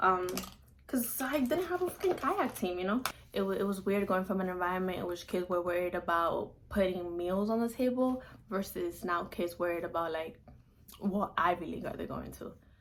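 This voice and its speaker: Moderate speed and ordinary pitch movement from a woman with a medium-pitched voice, against noticeable background noise. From Dominican Republic. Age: young. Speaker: college student. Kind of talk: casual talk to camera.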